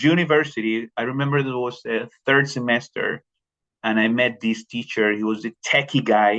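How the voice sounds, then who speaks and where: A man speaks with a Spanish accent at a medium pitch. His pace is fairly slow, and the sound is dry and close with no echo. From Colombia. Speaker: teacher. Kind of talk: professional development presentation. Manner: halting, many repetitions and fillers.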